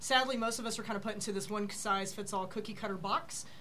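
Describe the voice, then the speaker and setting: Against noticeable background noise, a woman speaks at a very fast pace in a fairly high pitch with ordinary pitch variation. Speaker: insurance broker. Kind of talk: panel discussion. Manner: fast talker.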